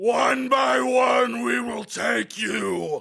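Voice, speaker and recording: A man shouting in a raspy, put-on character voice at a fairly high pitch. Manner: menacing.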